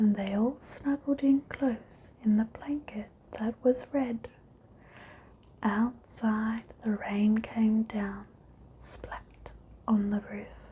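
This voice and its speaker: Soft-spoken delivery at a very slow pace. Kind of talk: ASMR bedtime story reading.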